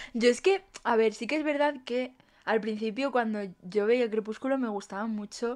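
A woman with a Spanish accent speaks at a moderate pace with ordinary pitch variation against a quiet background. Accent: Peninsular Spanish. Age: 20s. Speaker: podcast co-host. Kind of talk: casual chat. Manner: animated.

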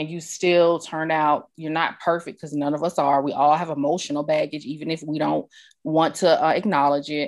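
A woman speaks at a fairly quick pace with an American accent. Her voice is very deep and low, delivered in a flat monotone. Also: quiet background. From New York. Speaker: podcast host. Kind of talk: interview.

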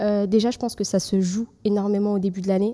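A woman with a dark, mellow tone talks at a fairly quick pace and medium pitch in a monotone, flat intonation. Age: 20s. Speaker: youth educator. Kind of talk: casual chat.

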